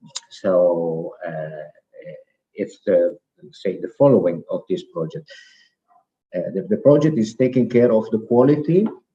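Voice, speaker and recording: The voice is somewhat breathy. The pace is fairly slow. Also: man. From Italy, Veneto. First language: Italian. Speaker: program participant presenting project. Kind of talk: presentation. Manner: halting.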